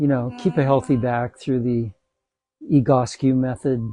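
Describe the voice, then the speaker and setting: Over music in the background, a man speaks in a relaxed tone at a medium pitch with fairly even intonation. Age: 70s. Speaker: yoga instructor. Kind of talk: tutorial.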